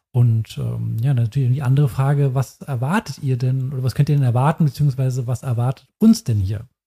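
With a dark, mellow, somewhat breathy tone, a man speaks at medium pitch and a fairly quick pace with hardly any pauses and ordinary pitch variation, recorded dry and close with no echo. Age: 30s. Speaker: tennis podcast co-host. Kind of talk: casual chat. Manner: halting.

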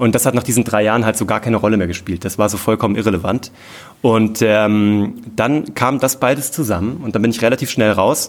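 Fairly quick in pace, a man talks at a medium pitch with ordinary pitch variation. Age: 30s. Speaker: entrepreneur and TV producer. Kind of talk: live podcast interview. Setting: stage with audience. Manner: animated, with many filler sounds.

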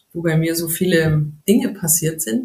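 A woman speaks in a fairly low pitch. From Bavaria, near Munich. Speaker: yoga teacher. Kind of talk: casual interview.

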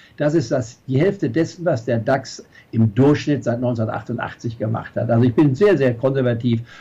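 Somewhat breathy and dark, mellow in tone, a man of medium pitch speaks at a moderate pace with ordinary pitch variation. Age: 70s. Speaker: investment strategist. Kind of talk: interview. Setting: video call.

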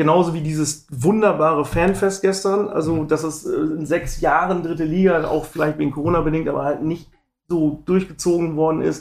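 A man with a plain, everyday voice, speaking at a moderate pace. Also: fairly high pitch for a man, fairly even intonation. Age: 40s. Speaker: football fan, forum member. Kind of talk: casual chat.

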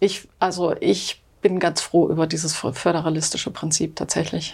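A woman speaks in a fairly low pitch with flat, monotone intonation. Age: 50s. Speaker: sociology professor. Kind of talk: interview. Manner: hesitant, many fillers.

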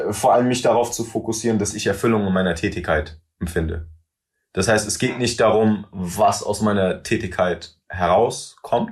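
This man's fairly low voice is somewhat breathy. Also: ordinary pitch variation, moderate pace. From Germany, Wiesbaden. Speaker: rapper. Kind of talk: interview conversation. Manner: mixes German with English phrases.

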